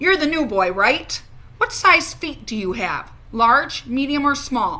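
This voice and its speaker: A woman puts on a character voice with a high pitch. She speaks at a fairly slow pace with very wide pitch swings. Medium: read story.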